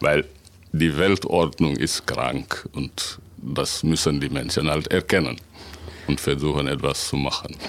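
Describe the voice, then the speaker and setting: A man's very deep, low voice with vocal fry, fairly even intonation and a very slow pace. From Senegal. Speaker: author and translator. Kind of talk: radio interview.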